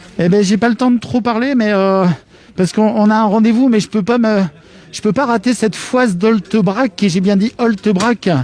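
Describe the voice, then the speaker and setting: Pitched high, a man talks at a moderate pace. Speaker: web TV presenter. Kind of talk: live outdoor broadcast. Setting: outdoors at a market. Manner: animated.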